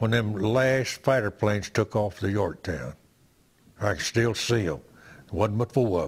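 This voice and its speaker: A man speaks at a fairly slow pace in a fairly low, somewhat breathy voice with ordinary pitch variation. The recording is very clean, with a silent background. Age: 80s+. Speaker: war veteran. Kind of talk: interview. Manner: halting.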